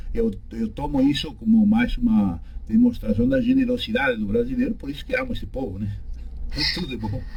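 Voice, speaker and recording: Here a man talks with a Uruguayan accent. His pace is fairly quick. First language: Spanish (speaking Portuguese). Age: 60s. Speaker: law professor. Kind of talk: radio interview. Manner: halting.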